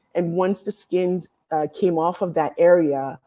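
A dark, mellow tone against a quiet background. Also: woman. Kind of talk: lecture. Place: home room. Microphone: webcam.

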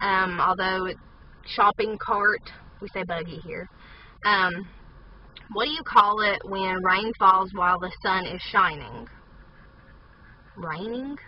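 A woman with an Appalachian accent speaks at a medium pitch and a very slow pace, with long, frequent pauses and ordinary pitch variation. Her loudness swings widely, the sound is dry with no echo, and noticeable background noise comes through. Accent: Appalachian Southern US. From southern West Virginia, USA. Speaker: vlogger. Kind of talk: casual talk to camera. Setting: inside a parked car. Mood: playful, amused. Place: car. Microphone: phone near.

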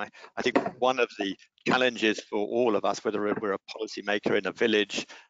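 A man talks very fast with fairly even intonation and a fairly low pitch. The sound is dry, with no echo. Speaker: webinar moderator. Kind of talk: webinar moderation. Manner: hesitant, many fillers. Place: home room. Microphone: headset.

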